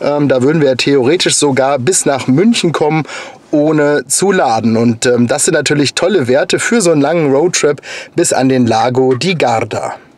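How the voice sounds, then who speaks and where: Heard in a dry recording with no echo, a man speaks at a moderate pace with ordinary pitch variation. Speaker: car vlogger. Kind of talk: casual vlog chat. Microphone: phone near.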